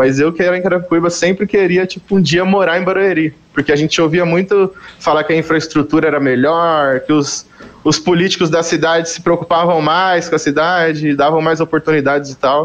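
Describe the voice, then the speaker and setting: A man speaks at a fairly quick pace with a high pitch. His intonation is monotone and flat. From Greater São Paulo (Carapicuíba). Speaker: musician. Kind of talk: casual chat.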